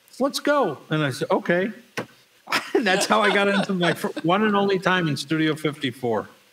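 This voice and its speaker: With long, frequent pauses, a man speaks at a moderate pace over noticeable background noise. His voice is high, with very wide pitch swings and very even loudness. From Buffalo, New York. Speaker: recording studio owner and engineer. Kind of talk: casual interview storytelling.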